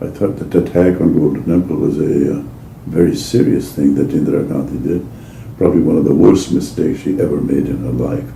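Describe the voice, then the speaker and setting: A man's very deep, low voice at a fairly quick pace, with ordinary pitch variation, audible room echo, and noticeable background noise. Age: 80s+. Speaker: oral history interviewee. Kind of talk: oral history interview. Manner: halting.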